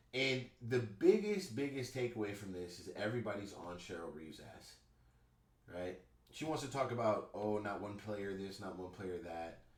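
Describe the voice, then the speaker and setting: At a moderate pace, a man with a fairly low pitch talks with ordinary pitch variation and big swings in loudness amid audible room echo. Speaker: YouTube reaction commentator. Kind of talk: reaction commentary. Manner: animated.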